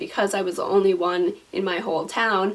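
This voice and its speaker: Over noticeable background noise, a woman with an American accent talks fairly quickly at a medium pitch. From US. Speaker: vlogger. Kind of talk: casual vlog talk.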